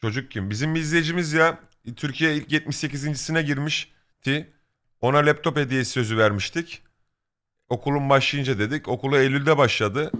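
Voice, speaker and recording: Recorded very cleanly against a silent background, a man with a fairly high voice and a bright, sharp tone talks at a moderate pace with ordinary pitch variation. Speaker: streamer. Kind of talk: casual chat. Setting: live stream.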